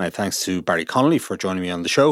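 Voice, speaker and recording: A man with an Irish accent on a very clean recording against a silent background. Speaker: business journalist podcast host. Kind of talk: interview; scripted narration.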